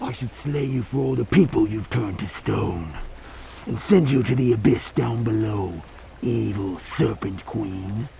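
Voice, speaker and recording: Lively intonation from a man at medium pitch, with clear background noise. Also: moderate pace. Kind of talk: rhyming fairy-tale dialogue. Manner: stern, suspicious.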